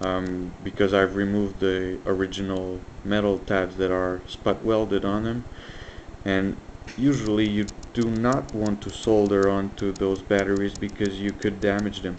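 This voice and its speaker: Amid noticeable background noise, a man with a slight French Canadian accent speaks at a fairly low pitch in a monotone, flat intonation. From French Canada. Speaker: electronics hobbyist. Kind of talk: tutorial. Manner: hesitant, many fillers.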